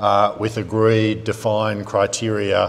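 A man with an Australian accent speaks at a fairly slow pace. His fairly low voice stays monotone and flat. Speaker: trade diplomat; panelist. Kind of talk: panel discussion. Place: hall. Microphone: lapel.

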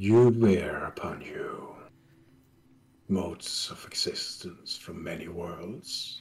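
A man speaks very slowly in a put-on character voice, leaving long, frequent pauses. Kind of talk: solemn prophetic fantasy voice. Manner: grave, cryptic, resigned.

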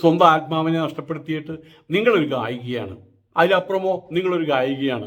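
The man speaks at a fairly high pitch. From Kerala, Thrissur area. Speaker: political commentator. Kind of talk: opinion monologue. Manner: animated.

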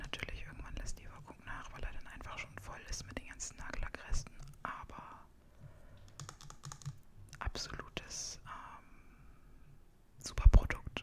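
A woman whispers at a moderate pace. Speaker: ASMR creator. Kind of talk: casual talk to camera. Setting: home, with a puppy making noise in the background. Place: home room.

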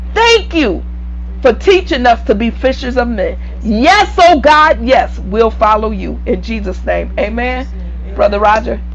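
A woman speaks fairly slowly against light background noise. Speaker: preacher. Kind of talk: sermon with prayer and call-and-response. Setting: online video broadcast to a church audience. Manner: fervent, repetitive, preacherly cadence, urging the congregation to respond; halting, with repeated words and restarts. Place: home room. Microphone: lapel.

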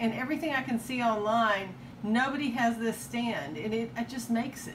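A woman speaking at a fairly slow pace, with noticeable background noise. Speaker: estate sale reseller. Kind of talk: casual show-and-tell vlog. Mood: enthusiastic about bargains. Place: home room. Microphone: phone near.

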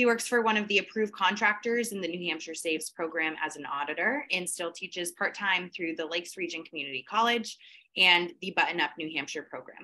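Hardly pausing, a woman speaks in a bright, sharp tone at a fairly low pitch. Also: ordinary pitch variation, fairly quick pace. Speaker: event moderator. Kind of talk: formal introduction and moderation. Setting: video call. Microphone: video call.

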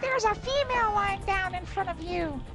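In a put-on character voice that is squeaky and extremely high in pitch, the speaker moves at a fairly quick pace over loud background noise.

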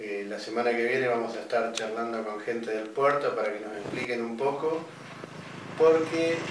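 Strong room echo surrounds a man speaking at a moderate pace and medium pitch with fairly even intonation.

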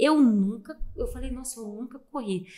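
Over a quiet background, a high-pitched woman talks at a moderate pace. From Brazil, Minas Gerais (Poços de Caldas); Minas Gerais, Brazil. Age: 30s. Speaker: athlete, distance runner; guest. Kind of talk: interview, casual chat. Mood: warm, proud, smiling. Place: studio. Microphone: studio mic.

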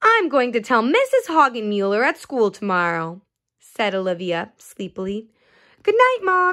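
Someone is heard in plain reading aloud. The background is quiet.

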